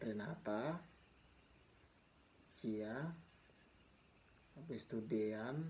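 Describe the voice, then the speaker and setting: A man with a medium pitch and a dark, mellow tone talks at a very slow pace with lively intonation. He leaves long, frequent pauses, and the room echo is audible. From Papua highlands, Indonesia. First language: Mee (Papuan language) (speaking Indonesian). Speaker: vlogger sharing life story. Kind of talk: personal storytelling. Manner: casual, halting with repetitions.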